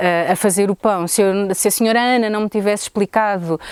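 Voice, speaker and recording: A woman speaks at a moderate pace with ordinary pitch variation, recorded very cleanly against a silent background with a dry, close sound and no echo. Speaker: tourism business owner. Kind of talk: interview testimony. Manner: halting.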